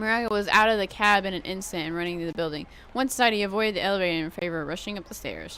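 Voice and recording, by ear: With ordinary pitch variation, this is reading aloud in a natural voice.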